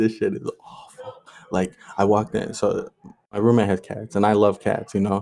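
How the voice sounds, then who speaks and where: A man's fairly low voice, dark and mellow in tone, monotone and flat, at a moderate pace. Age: 20s. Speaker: podcast co-host. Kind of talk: casual chat.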